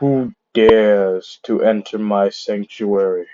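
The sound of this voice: Someone speaks in a put-on character voice at a fairly slow pace, with fairly even intonation. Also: man, fairly low pitch for a man.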